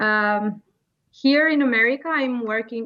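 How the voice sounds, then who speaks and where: Her pitch fairly high, a woman speaks in an Albanian accent. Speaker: behavior therapist. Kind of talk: interview. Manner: halting.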